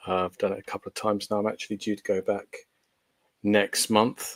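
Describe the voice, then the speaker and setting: The man's English accent comes through in a dry, close sound with no echo. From England, Portsmouth. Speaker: paranormal investigator. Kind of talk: podcast interview. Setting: video call, no camera.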